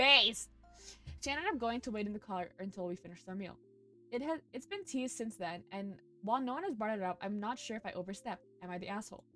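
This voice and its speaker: Over music in the background, a woman with a non-native accent speaks at a very fast pace, fairly high in pitch, with lively intonation. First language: not English. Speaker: streamer. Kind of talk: reading aloud with commentary. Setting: live stream. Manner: animated.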